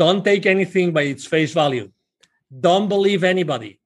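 A man with a Spanish accent, high pitch, ordinary pitch variation and a moderate pace. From Spain. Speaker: business consultant and nonprofit founder. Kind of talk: interview.

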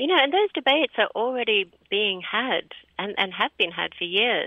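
A woman speaks at a moderate pace. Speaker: conservation expert. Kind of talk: interview. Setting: phone call. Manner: calm.

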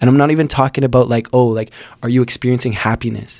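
Fairly even intonation comes through with a dry, close sound and no echo. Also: man. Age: 20s. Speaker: rapper. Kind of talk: casual chat.

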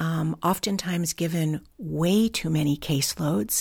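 Very slowly, a woman with an American accent speaks at a fairly low pitch with ordinary pitch variation. The recording is very clean, with a silent background. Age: 60s. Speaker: foster care advocate and village founder. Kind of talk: interview. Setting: on location.

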